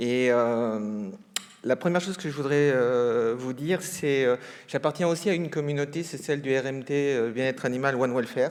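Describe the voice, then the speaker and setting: A man's voice sits at a medium pitch, with ordinary pitch variation and a moderate pace. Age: 60s. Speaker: research scientist, ethologist. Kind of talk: conference talk. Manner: hesitant, many fillers.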